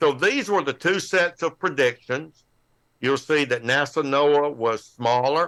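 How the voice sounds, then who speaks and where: The voice has a bright, sharp tone and an American accent. Its pace is fairly slow. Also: man. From United States. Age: 70s. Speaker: amateur radio presenter on solar forecasting. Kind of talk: technical presentation with slides. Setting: live online club show. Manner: halting, many fillers and repeats.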